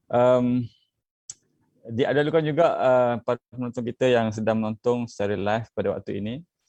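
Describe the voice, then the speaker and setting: A man speaks at a fairly quick pace and a medium pitch, with a slight Terengganu accent. His tone is dark and mellow, and his intonation fairly even. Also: dry, close sound with no echo. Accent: Terengganu Malay dialect, slight. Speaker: youth politician. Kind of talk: online panel discussion. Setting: Facebook live video call. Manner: hesitant, many fillers.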